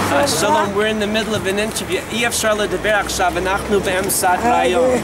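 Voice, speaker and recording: A man with an American accent and a high pitch, fairly quick pace and very even loudness, with audible room echo and crowd noise in the background. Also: ordinary pitch variation. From United States. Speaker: TV talk show host. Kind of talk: interview.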